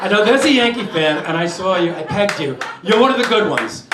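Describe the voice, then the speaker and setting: With a New York accent, this voice moves at a fairly quick pace and swings very widely in pitch, over noticeable background noise and audible room echo. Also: man. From New York, Brooklyn. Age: 60s. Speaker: comedian. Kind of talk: stand-up. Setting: stage with audience.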